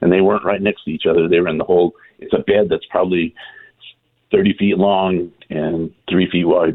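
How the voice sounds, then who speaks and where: A man speaks at a moderate pace in a very deep, low voice with monotone, flat intonation. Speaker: caller. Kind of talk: casual phone question. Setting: phone call. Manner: friendly, chatty.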